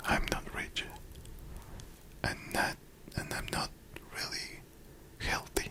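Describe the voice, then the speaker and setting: A man whispers at a very slow pace, with long, frequent pauses and noticeable background noise. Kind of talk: ASMR whispered let's-play game. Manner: whispered, close, cozy.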